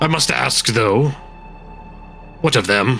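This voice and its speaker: Clear music plays in the background as a man performs in a put-on character voice. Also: medium pitch for a man. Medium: actual play. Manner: guarded, blunt.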